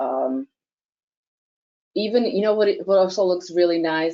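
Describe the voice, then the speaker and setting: A woman with an American accent. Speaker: product presenter. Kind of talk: webinar Q&A. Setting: online webinar.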